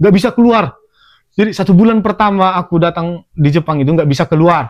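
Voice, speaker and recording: A man with a Medan accent speaks very fast at a high pitch. His loudness is very even, with ordinary pitch variation. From Indonesia, Medan (North Sumatra). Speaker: podcast host, former trainee worker in Japan. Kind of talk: casual chat.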